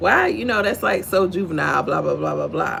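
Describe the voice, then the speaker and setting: A woman with an American accent talks at a moderate pace. Audible room echo and noticeable background noise are present. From Texas, Houston. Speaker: livestream host, faith devotional. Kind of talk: devotional livestream talk.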